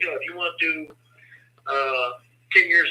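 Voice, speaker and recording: A man speaks at a very fast pace. Noticeable background noise sits behind him. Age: 60s. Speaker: incarcerated man advocating for parole reform. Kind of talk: interview.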